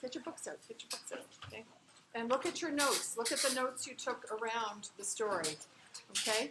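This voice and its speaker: A loud woman with ordinary pitch variation and audible room echo. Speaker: literature instructor. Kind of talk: lecture. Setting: classroom. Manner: projecting loudly.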